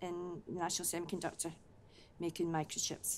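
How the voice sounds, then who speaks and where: Speaking at a moderate pace, a woman uses a fairly low pitch in a west of Scotland accent. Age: 70s. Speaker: volunteer. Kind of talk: interview testimony.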